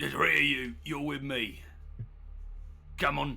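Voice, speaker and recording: Using a put-on character voice, a man talks at a fairly slow pace. The voice is raspy. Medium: actual play. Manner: casual, plain-spoken.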